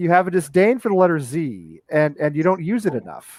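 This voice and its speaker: Speaking with an American accent, a man talks at a high pitch with ordinary pitch variation. The sound is dry and close, with no echo. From Texas. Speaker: football podcast host. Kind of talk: casual chat. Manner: animated, stammering repetitions.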